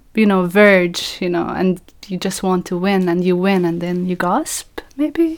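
A woman at a medium pitch with an Arabic accent, very slow in pace with hardly any pauses. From Palestine. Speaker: podcast co-host and education researcher. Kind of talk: educational podcast conversation.

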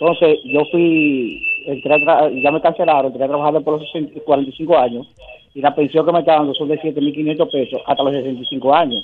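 A man talks at a moderate pace, his pitch fairly high and his intonation fairly even. Noticeable background noise runs behind him. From Dominican Republic. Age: 70s. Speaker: caller. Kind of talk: radio call-in.

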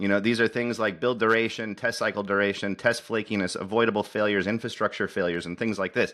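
Bright and sharp in tone, a man talks at a fairly quick pace. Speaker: software productivity advocate. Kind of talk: casual interview.

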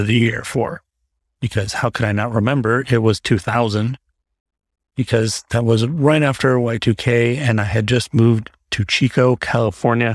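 Speech comes at a fairly slow pace with ordinary pitch variation. The sound is dry and close, with no echo. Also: man. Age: 40s. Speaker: solo podcaster. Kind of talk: casual chat. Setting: home recording with fan in background. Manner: rambling, off the cuff.

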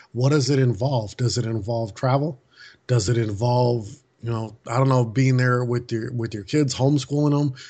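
A man speaks in an American accent with a somewhat breathy voice and fairly even intonation. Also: medium pitch for a man, moderate pace. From US Midwest, Milwaukee, Wisconsin. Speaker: author and speaker. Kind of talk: interview.

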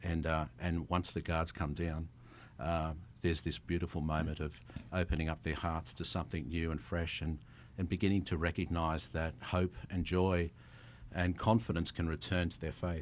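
Over a silent background on a very clean recording, a man with an Australian accent speaks in a very deep, low pitch with fairly even intonation. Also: moderate pace. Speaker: travel company founder. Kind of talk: casual interview chat. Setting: studio.

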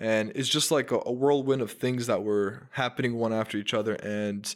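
A man talks at a moderate pace with an unremarkable speaking voice, medium pitch and fairly even intonation. The recording is very clean with a silent background. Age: 20s. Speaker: marketing agency founder. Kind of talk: casual chat. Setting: studio.

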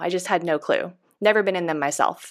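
In a plain, everyday voice with an American accent, a woman talks at a fairly quick pace with ordinary pitch variation on a very clean recording with a silent background. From Northern California. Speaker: hairstylist and educator. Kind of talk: interview.

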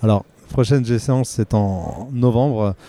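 Dry and close with no echo, a man's medium-pitched voice has a dark, mellow tone and fairly even intonation. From Vosges, eastern France. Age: 30s. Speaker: non-destructive testing technician and powerlifter. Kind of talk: trade-show interview. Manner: hesitant, with fillers.

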